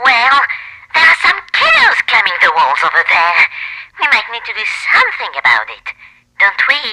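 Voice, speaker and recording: At a moderate pace, a put-on character voice speaks in a high pitch. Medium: audio drama. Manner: folksy, giggly, easily excited.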